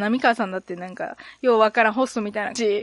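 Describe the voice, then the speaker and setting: This woman talks very fast. There's no echo, and the sound is dry and close. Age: 30s. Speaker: podcast host. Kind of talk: casual chat. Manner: animated.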